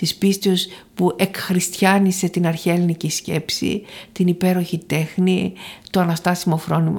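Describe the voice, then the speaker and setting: Her voice is somewhat breathy, a woman at medium pitch. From Thessaloniki, northern Greece. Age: 60s. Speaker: professor emerita of theology. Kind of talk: interview.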